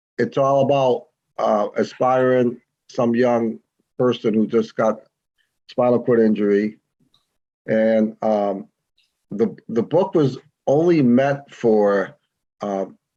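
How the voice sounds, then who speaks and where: A man's very slow, medium-pitched voice with an American accent, dark and mellow in tone and very even in loudness. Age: 60s. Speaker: retired businessman, author, quadriplegic. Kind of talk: interview. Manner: halting.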